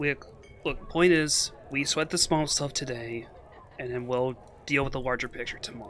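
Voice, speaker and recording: Doing a put-on character voice, a man with a raspy, medium-pitched sound speaks at a moderate pace with long, frequent pauses over clear background noise. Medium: actual play. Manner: formal, measured.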